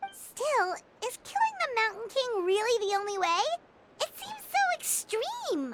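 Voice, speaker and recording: This put-on character voice is squeaky and extremely high-pitched, moving at a fairly slow pace. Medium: video game. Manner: excitable, earnest.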